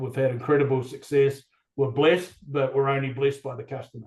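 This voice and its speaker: Speaking with a New Zealand accent, this man has a medium pitch. His voice is somewhat breathy. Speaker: construction company representative. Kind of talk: live webinar chat.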